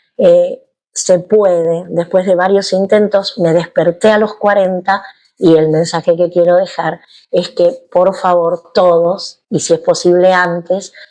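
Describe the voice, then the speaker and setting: In a Rioplatense accent, a woman speaks at a very slow pace. Her tone is dark and mellow, her intonation monotone and flat, and her loudness very even. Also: medium pitch for a woman. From Argentina, Buenos Aires. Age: 60s. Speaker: yoga teacher. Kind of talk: interview.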